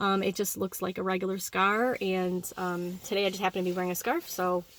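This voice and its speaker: A woman talking at a very fast pace. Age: 40s. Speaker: vlogger sharing surgery recovery. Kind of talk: casual vlog testimony. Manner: hesitant, many fillers.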